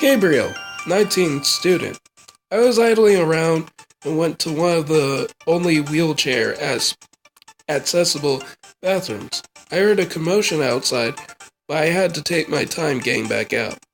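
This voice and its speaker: A man puts on a raspy, high-pitched character voice at a moderate pace, with faint music in the background. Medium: audio drama.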